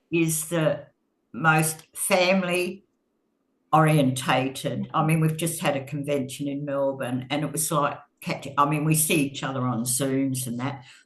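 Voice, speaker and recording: This woman's voice is very deep and low. She talks at a fairly slow pace with fairly even intonation. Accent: Australian. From Australia. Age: 80s+. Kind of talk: podcast interview answer. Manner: hesitant, chatty.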